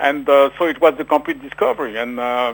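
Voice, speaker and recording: Speaking in a French accent, a man with a fairly high pitch talks fairly slowly with ordinary pitch variation. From France. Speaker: author. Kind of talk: radio interview. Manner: halting.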